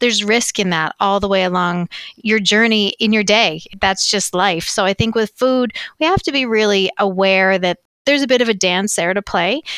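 A woman with a medium pitch and a normal speaking voice talks at a moderate pace, with ordinary pitch variation and very even loudness. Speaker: agriculture industry leader. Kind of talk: interview.

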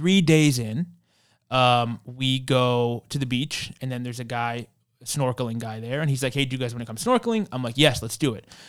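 A man with an American accent speaks in a plain, everyday voice at a medium pitch and moderate pace. His intonation is fairly even, and the recording is very clean with a silent background. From New York, Queens. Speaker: tourism agency founder. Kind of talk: interview. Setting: studio.

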